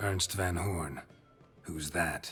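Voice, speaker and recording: A man does a put-on character voice. It is raspy and very deep and low. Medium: video game. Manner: terse, dry.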